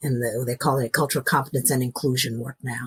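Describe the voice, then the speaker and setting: This is a woman with an American accent. She sounds somewhat breathy. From US Pacific Northwest (Seattle suburbs), early childhood in Nashville. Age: 60s. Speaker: grief and loss coach. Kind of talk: interview storytelling. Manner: animated.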